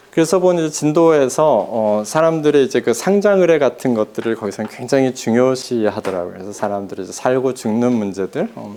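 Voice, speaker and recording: Very wide pitch swings mark this man's medium-pitched voice. His tone is dark and mellow, and he talks at a fairly quick pace. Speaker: soil scientist professor, book author. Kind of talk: talk to an audience. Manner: hesitant, many fillers.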